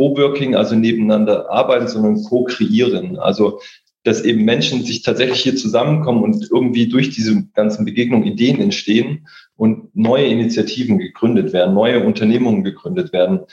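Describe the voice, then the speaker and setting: Lively intonation from a man with an ordinary speaking voice, medium pitch and a moderate pace. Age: 40s. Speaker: coworking space co-founder. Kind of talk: podcast interview.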